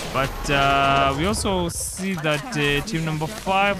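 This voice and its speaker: A man with a non-native accent and a fairly high pitch, with noticeable background noise and audible room echo. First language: not English. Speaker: esports commentator. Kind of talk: live commentary.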